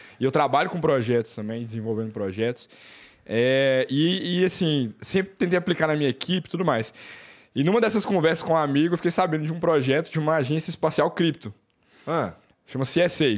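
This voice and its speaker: Against a quiet background, a man with a fairly high voice speaks at a fairly quick pace with lively intonation. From Brazil, Belo Horizonte (Minas Gerais); Minas Gerais, Brazil. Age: 20s. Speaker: engineer, space tourist; podcast guest. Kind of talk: casual chat. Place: studio. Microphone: studio mic.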